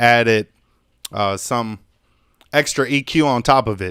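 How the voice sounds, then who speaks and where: In a very clean recording with a silent background, a man with an unremarkable speaking voice talks at a fairly slow pace with ordinary pitch variation. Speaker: music producer and mixing engineer. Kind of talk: tutorial. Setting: live stream. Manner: casual, many fillers.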